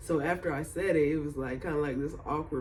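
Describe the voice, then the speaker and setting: Amid audible room echo, a man talks in a relaxed tone with a somewhat breathy voice. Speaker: vlogger. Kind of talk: casual video diary. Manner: laid-back, relaxed; filler-heavy, casual.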